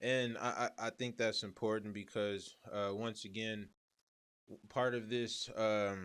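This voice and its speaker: A man with an American accent in a normal speaking voice, medium pitch, fairly slow pace and fairly even intonation, on a very clean recording with a silent background. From US Midwest. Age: 30s. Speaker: podcast host. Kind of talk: casual interview.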